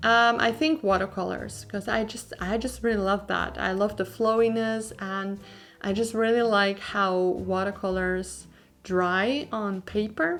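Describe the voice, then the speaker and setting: A woman with a Dutch accent speaks at a fairly slow pace and medium pitch. Her pitch variation is ordinary, with music in the background. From Netherlands. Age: 20s. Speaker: artist and YouTuber. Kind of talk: Q&A voiceover over drawing video. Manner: casual, with many fillers.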